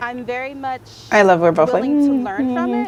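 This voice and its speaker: A woman speaks with an American accent. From Atlanta, Georgia, USA. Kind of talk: casual talk to camera. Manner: upbeat.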